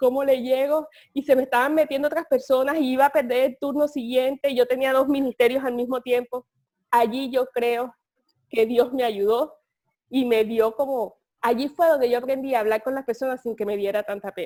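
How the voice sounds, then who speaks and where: A woman speaks in a high voice with a dark, mellow tone. Her pace is moderate and her intonation fairly even. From Colombia, Caribbean coast (Cartagena). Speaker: communications firm director. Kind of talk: interview testimony.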